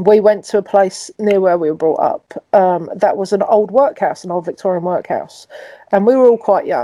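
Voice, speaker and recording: Here a woman speaks in a London accent with a dark, mellow tone. Her pitch is medium, with ordinary variation. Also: moderate pace, dry, close sound with no echo. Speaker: podcast host. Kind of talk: casual chat.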